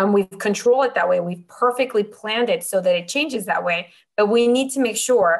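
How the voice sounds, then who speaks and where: A woman with a Spanish accent, fairly high pitch and ordinary pitch variation. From Mexico. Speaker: optical engineer. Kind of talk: interview.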